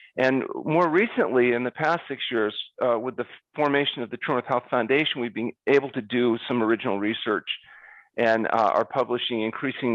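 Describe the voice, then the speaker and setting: A man with a plain, everyday voice talks at a fairly quick pace in a medium pitch with ordinary variation. The sound is dry and close with no echo, over a quiet background. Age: 60s. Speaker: fasting doctor, health center founder. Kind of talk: interview.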